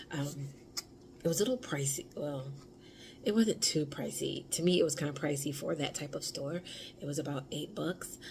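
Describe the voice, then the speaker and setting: A quiet woman's voice, very deep and low, with an American accent, at a moderate pace broken by long, frequent pauses. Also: ordinary pitch variation. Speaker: vlogger, stay-at-home mom. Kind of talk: casual vlog. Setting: at home. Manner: quiet, speaking low.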